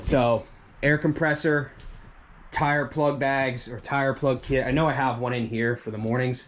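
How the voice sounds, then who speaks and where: A man talks in a normal speaking voice at medium pitch. His intonation stays fairly even and his pace is fairly slow. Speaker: lawn care business owner. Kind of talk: tutorial. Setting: shop. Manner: casual, conversational.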